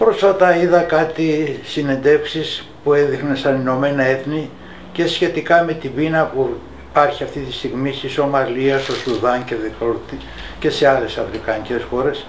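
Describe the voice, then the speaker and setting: A man's fairly high-pitched voice at a fairly slow pace, with ordinary pitch variation, audible room echo and noticeable background noise. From Greece, Athens area. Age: 80s+. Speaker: wartime occupation witness. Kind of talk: testimony. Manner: halting.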